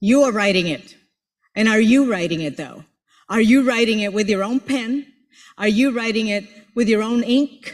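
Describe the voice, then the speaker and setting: The speaker sounds animated, with a Spanish accent. Long pauses come often. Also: moderate pace. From Puerto Rico. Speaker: motivational speaker and professor. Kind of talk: motivational speech.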